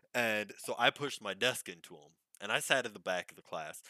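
In a dry, close sound with no echo, a man with a fairly low pitch and a bright, sharp tone talks at a moderate pace. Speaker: podcaster telling life stories. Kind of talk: casual monologue storytelling. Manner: rambling with many fillers and false starts.

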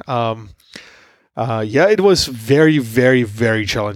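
This is a man speaking. He has a Slovak accent. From Slovakia. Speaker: tech entrepreneur. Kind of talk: interview.

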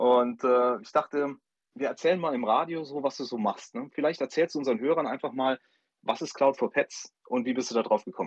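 A man talks at a fairly quick pace with a medium pitch and ordinary pitch variation. His loudness swings widely, and the sound is dry and close with no echo. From Saarland, Saarbrücken. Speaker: startup advisor, co-host. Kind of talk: radio interview. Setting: phone call.

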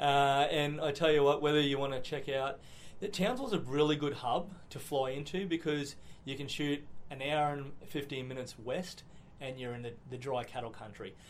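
A man speaks with fairly high pitch and fairly even intonation. Audible room echo can be heard. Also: moderate pace. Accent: Australian. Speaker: state politician. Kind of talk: interview.

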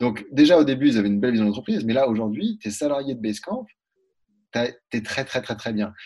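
Here a man with a medium pitch has a dark, mellow tone. He talks at a very fast pace, broken by long, frequent pauses. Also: ordinary pitch variation. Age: 20s. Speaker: freelance entrepreneur. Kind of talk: interview.

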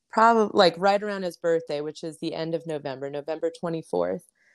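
This woman has an ordinary speaking voice with an American accent, lively intonation and a fairly quick pace. The recording is very clean with a silent background. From Las Vegas, Nevada. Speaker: military spouse and mother. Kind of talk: casual interview chat.

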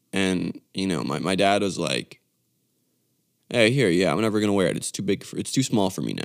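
The recording is very clean, with a silent background. A man speaks with a very deep, low pitch, vocal fry and lively intonation. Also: moderate pace. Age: 20s. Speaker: podcast host and musician. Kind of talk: casual monologue. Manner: halting, many fillers and restarts.

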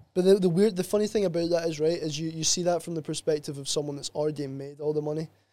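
In a Glasgow accent, a man talks at a very fast pace with hardly any pauses, his tone dark and mellow. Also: fairly high pitch for a man, fairly even intonation. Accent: Scottish (Glasgow area). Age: 20s. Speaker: sports therapist. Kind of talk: casual chat.

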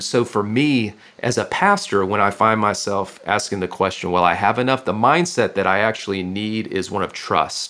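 Speaking at a moderate pace with an American accent, a man uses a bright, sharp tone at medium pitch with ordinary pitch variation. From Northwest Florida. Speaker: pastor and author. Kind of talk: interview.

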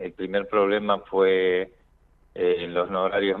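This man's voice is very deep and low. He keeps to a moderate pace. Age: 50s. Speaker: cardiologist. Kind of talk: radio interview.

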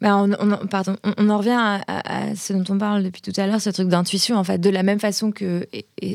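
In monotone, flat intonation, a woman speaks at a fairly quick pace. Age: 30s. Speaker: podcast founder and entrepreneur. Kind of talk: interview. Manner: hesitant, many repetitions.

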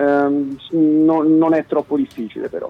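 A man speaks over noticeable background noise. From Italy, Marche (Apennines, Amandola). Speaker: musician, game co-creator. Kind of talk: casual interview. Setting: phone call. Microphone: dropped phone line.

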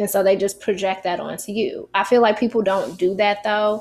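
A woman with an American accent, medium pitch, fairly even intonation and an unremarkable speaking voice. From United States. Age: 40s. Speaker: podcast host. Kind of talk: casual chat.

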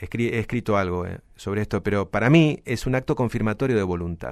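The recording is very clean, and the background is silent. An unremarkable speaking voice carries lively intonation at a fairly quick pace. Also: man. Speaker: lawyer specializing in data protection and IT law. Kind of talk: podcast interview.

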